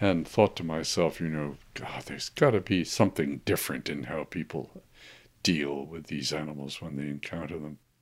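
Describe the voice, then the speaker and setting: Moving at a moderate pace, a man speaks with a very deep, low pitch, vocal fry, ordinary pitch variation and big swings in loudness. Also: very clean recording, silent background. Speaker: marine biologist. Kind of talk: interview recollection.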